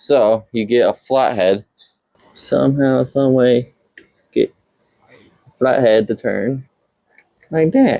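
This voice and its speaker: A man talks at a very slow pace, leaving long, frequent pauses. His loudness swings widely. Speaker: car enthusiast vlogger. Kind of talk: DIY tutorial vlog. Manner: halting, self-correcting; casual.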